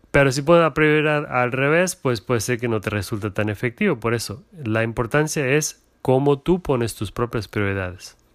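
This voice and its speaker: Lively in intonation, a man talks at a medium pitch and a moderate pace in a very clean recording with a silent background. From Germany, Portuguese parents. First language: German or Portuguese (speaking Spanish). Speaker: entrepreneur's husband, corporate employee. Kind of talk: casual interview. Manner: halting.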